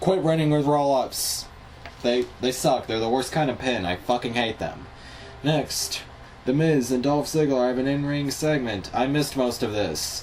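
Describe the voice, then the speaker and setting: Pitch varies in an ordinary way at a moderate pace. Background noise is noticeable throughout. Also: man, medium pitch for a man. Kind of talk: casual wrestling recap talk.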